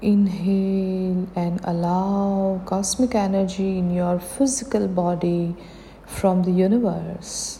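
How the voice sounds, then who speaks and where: The tone is calm and soothing, the intonation fairly even and the pace very slow, with noticeable background noise behind it. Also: woman, medium pitch for a woman. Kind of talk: guided meditation. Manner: slow, calm, soothing; gentle, encouraging, with pauses.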